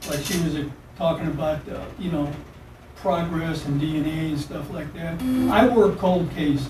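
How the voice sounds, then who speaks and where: Fairly high in pitch with fairly even intonation, a man speaks amid audible room echo and noticeable background noise. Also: moderate pace. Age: 70s. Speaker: cold case investigator. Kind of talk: police interrogation.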